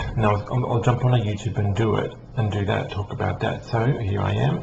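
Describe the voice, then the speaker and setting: A man speaks at a fairly low pitch with ordinary pitch variation. Noticeable background noise and audible room echo surround him. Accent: Australian. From Australia. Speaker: psychic medium. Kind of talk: casual vlog talk. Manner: hesitant, many ums.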